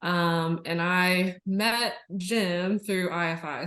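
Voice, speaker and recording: A woman with an American accent has a normal speaking voice, her fairly low pitch showing ordinary variation. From Kentucky, US. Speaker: school psychologist. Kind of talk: casual chat.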